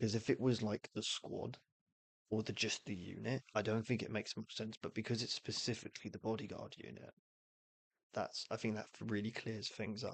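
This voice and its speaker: A man's fairly low pitch with vocal fry, monotone, flat intonation and a moderate pace. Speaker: streamer. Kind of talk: casual live-stream commentary explaining game rules. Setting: live stream. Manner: halting, many false starts.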